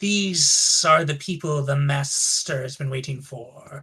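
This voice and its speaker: The voice is a put-on character voice with a low-to-middle pitch. It moves at a fairly slow pace. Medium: actual play. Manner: formal, measured.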